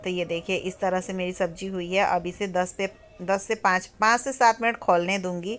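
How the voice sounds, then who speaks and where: Music plays in the background as a woman speaks. Her pitch is medium and her pace moderate. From Bihar, India. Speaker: vlogger. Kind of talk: cooking and daily vlog narration. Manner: subdued, soft.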